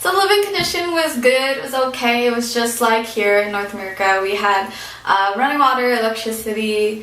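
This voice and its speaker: Over noticeable background noise and audible room echo, a woman speaks at a moderate pace in a fairly high pitch. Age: 20s. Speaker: vlogger, former overseas volunteer English teacher. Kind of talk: casual vlog monologue. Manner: hesitant, many fillers.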